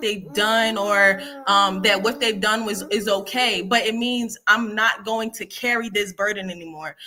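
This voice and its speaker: A woman with a fairly high pitch speaks at a fairly slow pace against noticeable background noise. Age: 20s. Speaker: contributing author. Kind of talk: testimony. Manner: halting.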